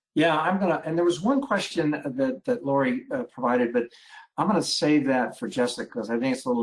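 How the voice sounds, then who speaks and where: A man speaks at a fairly quick pace with lively intonation. His pitch is fairly high, and he has a plain, everyday voice. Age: 60s. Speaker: family physician, webinar moderator. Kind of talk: webinar panel discussion.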